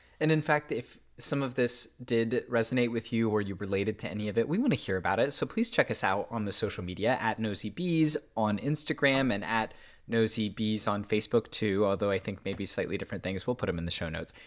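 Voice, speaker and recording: Over a very clean recording with a silent background, a man at a medium pitch speaks at a very fast pace with hardly any pauses. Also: ordinary pitch variation. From US Midwest. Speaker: podcast co-host. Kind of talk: casual chat.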